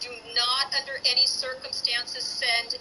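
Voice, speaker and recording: In a raised, projected voice, a woman speaks at a high pitch with monotone, flat intonation. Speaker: teacher. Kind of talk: online class lecture.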